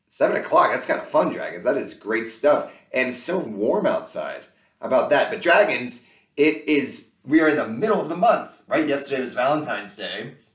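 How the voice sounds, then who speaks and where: Audible room echo surrounds a man speaking at a moderate pace against a quiet background. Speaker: children's show host. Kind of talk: kids' educational presenting. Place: home room.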